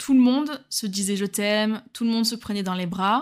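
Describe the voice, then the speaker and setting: Speaking at a fairly quick pace, a woman uses a normal speaking voice with ordinary pitch variation on a very clean recording with a silent background. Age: 20s. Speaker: solo dating podcaster. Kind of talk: personal storytelling narration.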